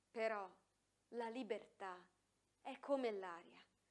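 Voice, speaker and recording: A woman with a fairly high pitch speaks in a solemn tone at a fairly slow pace, her intonation lively. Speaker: speech reader. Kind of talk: reading aloud a 1955 lecture to students. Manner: earnest, solemn; emphatic, rhetorical, building to a climax.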